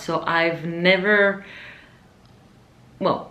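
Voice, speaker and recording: A woman with a fairly low pitch talks amid audible room echo and noticeable background noise. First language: Spanish. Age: 20s. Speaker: vlogger. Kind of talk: casual vlog monologue.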